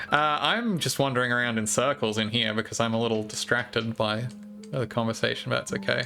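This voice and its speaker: A man with an Australian accent at medium pitch, fairly quick and fairly even in intonation, music in the background. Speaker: video game streamer. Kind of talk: casual chat while gaming. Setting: live stream.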